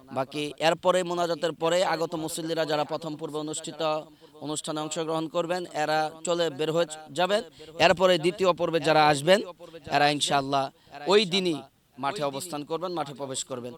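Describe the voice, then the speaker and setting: Against noticeable background noise, a man speaks at a fairly high pitch with fairly even intonation. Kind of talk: on-location report and street interviews. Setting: outdoors at a large religious gathering site by the road.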